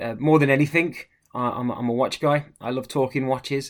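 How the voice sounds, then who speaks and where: With an English accent, a man talks at a fairly quick clip and a medium pitch, his intonation fairly even, on a very clean recording with a silent background. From Midlands, England. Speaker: watch brand manager. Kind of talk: casual chat.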